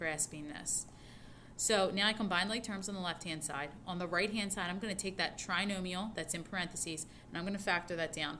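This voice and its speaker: A woman speaks at a fairly quick pace in a bright, sharp tone at medium pitch, her intonation fairly even, with audible room echo around her. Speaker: high school math teacher. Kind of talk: recorded lecture notes tutorial. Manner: fast.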